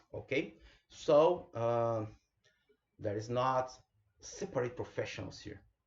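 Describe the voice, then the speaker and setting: Somewhat breathy, the speech moves at a very slow pace with a Brazilian Portuguese accent. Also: man. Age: 30s. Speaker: bioinformatics specialist. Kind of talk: online lecture presentation.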